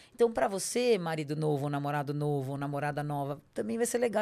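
A woman with a very deep, low pitch and a dark, mellow tone talks very fast with hardly any pauses. Her pitch swings very widely on a very clean recording with a silent background. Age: 40s. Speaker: lawyer and personal development coach. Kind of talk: interview conversation.

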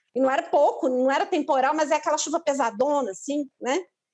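A woman talks at a high pitch. Her pace is moderate. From São Paulo, Brazil. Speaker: lawyer. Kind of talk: casual chat.

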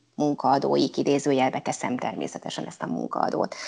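A woman's voice with vocal fry at a moderate pace. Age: 50s. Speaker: local councillor and teacher. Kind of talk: interview.

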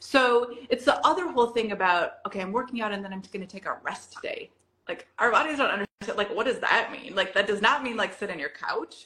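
A woman talks fairly quickly at a fairly high pitch in a normal speaking voice. Her intonation is lively, and her loudness swings widely. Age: 50s. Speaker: wellness coach. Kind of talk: casual interview chat.

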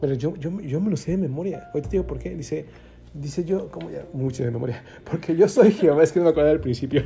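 With a Mexican accent, a man talks at a very fast pace in a fairly high pitch and an animated tone, with ordinary pitch variation, big swings in loudness and noticeable background noise. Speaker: pastor. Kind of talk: sermon.

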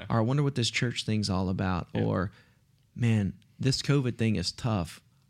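A man with a fairly low pitch and an East Texas accent. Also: ordinary pitch variation, moderate pace. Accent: East Texas Southern US. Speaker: pastor. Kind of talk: casual chat.

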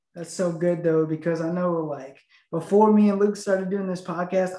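The speaker has an American accent and a flat, monotone intonation. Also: man. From US Midwest (northern Illinois). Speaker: podcast co-host. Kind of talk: casual interview chat.

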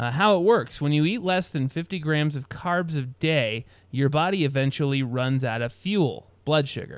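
A man speaks in an ordinary speaking voice. His pace is moderate and his pitch variation ordinary. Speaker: podcast host. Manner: rambling, humorous, self-deprecating.

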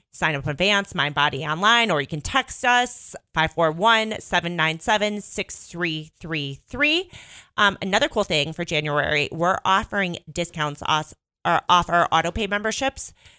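Speaking at a moderate pace with a slight Chicago accent, a woman with a fairly low pitch sounds bright, sharp and animated, her intonation lively, on a very clean recording with a silent background and a dry, close sound with no echo. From northern Illinois, near Chicago. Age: 30s. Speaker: fitness studio owner. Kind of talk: casual radio interview. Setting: radio studio. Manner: animated, chatty.

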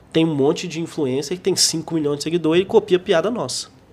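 A man with a normal speaking voice and a fairly high pitch talks at a fairly quick pace. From Brazil, Minas Gerais (João Monlevade). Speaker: stand-up comedian. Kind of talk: casual interview. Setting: studio.

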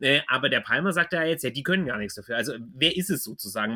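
A man's fairly high voice, bright and sharp in tone, with very wide pitch swings, on a very clean recording with a silent background. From Swabia, southwest Germany. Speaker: podcast host. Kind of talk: interview. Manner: hesitant, many fillers.

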